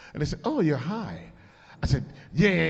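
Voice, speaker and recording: A man talks loudly in an animated tone against noticeable background noise. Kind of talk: casual chat, storytelling.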